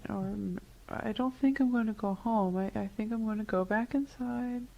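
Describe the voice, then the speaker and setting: The voice has a dark, mellow tone, somewhat breathy, moving at a moderate pace with fairly even intonation. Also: woman, fairly high pitch for a woman. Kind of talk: client answering hypnotherapy questions.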